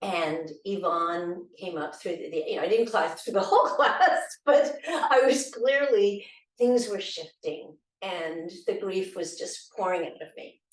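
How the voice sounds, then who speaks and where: Speaking at a fairly slow pace in a normal speaking voice, a woman uses a medium pitch, lively intonation and big swings in loudness. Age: 60s. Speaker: bereaved widow, dancer. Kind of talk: personal testimony.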